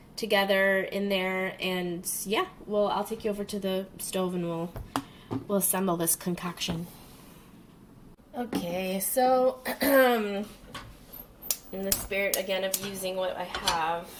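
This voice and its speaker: A woman's medium-pitched voice at a fairly slow pace, with fairly even intonation, long, frequent pauses and noticeable background noise. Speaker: home cook vlogger. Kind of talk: casual talk to camera. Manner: hesitant, many fillers.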